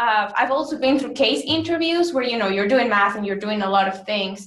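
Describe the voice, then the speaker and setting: Speaking with a Spanish accent, a woman uses a fairly high pitch and lively intonation. Her pace is fairly quick. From Mexico. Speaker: business school student or alumnus. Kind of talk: webinar Q&A answer. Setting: online webinar.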